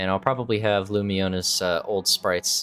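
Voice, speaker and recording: Over music in the background, a man talks at a moderate pace in a very deep, low pitch. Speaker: game mod developer and video creator. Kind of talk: unscripted walkthrough of patch notes. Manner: casual, hesitant with fillers.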